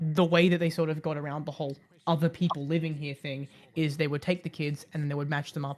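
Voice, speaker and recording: Fairly quick speech with an Australian accent. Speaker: streamer. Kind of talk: casual chat. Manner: halting, many fillers.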